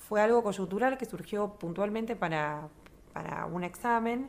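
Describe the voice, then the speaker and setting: This woman uses a normal speaking voice, pitched at a medium level. She keeps a moderate pace and her pitch varies in an ordinary way. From Argentina, Río Gallegos (Santa Cruz). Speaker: choir director. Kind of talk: interview.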